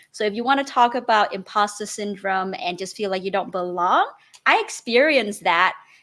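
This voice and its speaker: A woman with a Vietnamese accent speaks at a fairly quick pace in a medium pitch, her bright, sharp tone carrying ordinary pitch variation. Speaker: real estate investor. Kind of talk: interview.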